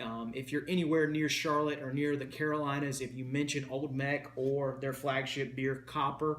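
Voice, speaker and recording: With a Southern US accent and fairly even intonation, the speaker is heard with audible room echo and noticeable background noise. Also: man. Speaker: beer reviewer. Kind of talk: casual video review. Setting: at home.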